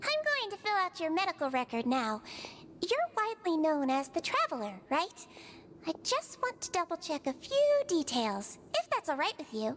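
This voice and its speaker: Using a put-on character voice with a warm tone, a woman speaks at a moderate pace in an extremely high pitch with very wide pitch swings, over clear background noise. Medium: video game. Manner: warm, caring.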